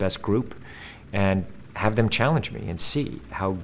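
The voice moves at a fairly quick pace with ordinary pitch variation over light background noise. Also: man. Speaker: actor promoting a film. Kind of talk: interview answer. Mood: earnest, enthusiastic. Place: studio.

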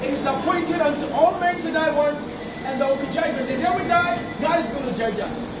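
Fairly quick speech with ordinary pitch variation, set against clear background noise. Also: man, extremely high pitch for a man.

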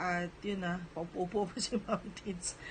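At a fairly slow pace, a woman with a medium-pitched voice speaks in a flat monotone. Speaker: vlogger and small store owner. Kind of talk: casual vlog talk.

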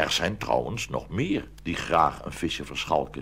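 The voice has a fairly bright tone and moves at a fairly slow pace. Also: man.

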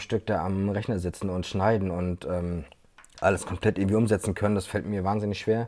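A man's dark, mellow voice at a moderate pace against a quiet background. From Mecklenburg-Vorpommern, Güstrow; Mecklenburg-Vorpommern. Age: 30s. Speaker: videographer; guest. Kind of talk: interview. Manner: hesitant, many fillers. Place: home room. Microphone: earbuds.

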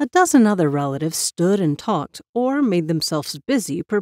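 An unforced reading voice is heard. Little else sounds, as the background is quiet.

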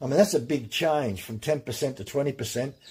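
A man speaks in a somewhat breathy voice. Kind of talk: tutorial. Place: workshop.

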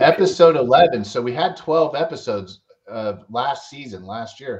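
A man talks against a quiet background. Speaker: show host. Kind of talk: casual podcast conversation. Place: home room. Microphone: headset.

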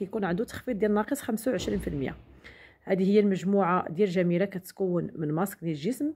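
A woman's dark, mellow tone with ordinary pitch variation and a Moroccan accent. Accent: Moroccan Darija with French loanwords. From Morocco. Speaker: beauty product sales vlogger. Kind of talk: product demonstration vlog. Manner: halting with fillers. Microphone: phone near.

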